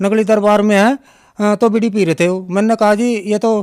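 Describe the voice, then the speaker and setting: A high-pitched man speaks in a monotone, flat way. The recording is very clean with a silent background. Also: dry, close sound with no echo. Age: 60s. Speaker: devotee giving testimony. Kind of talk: testimony. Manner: halting.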